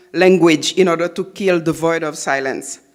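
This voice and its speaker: The speaker talks at a moderate pace with a Haitian accent. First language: Haitian Creole / French. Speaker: novelist. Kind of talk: lecture. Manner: halting, many fillers.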